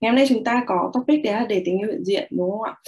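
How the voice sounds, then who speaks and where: Over a quiet background, a woman with a dark, mellow tone lets her pitch swing very widely. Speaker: meditation and mirror-work guide, live host. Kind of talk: guided meditation / self-love mirror work, live stream. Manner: friendly, conversational, welcoming. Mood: calm, gentle, warm. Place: home room. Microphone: webcam.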